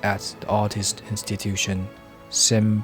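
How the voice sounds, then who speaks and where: Music plays behind a man with a fairly low pitch. He speaks at a fairly slow pace with fairly even intonation. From Taiwan. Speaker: visual artist and film director. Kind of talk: travel vlog voice-over narration.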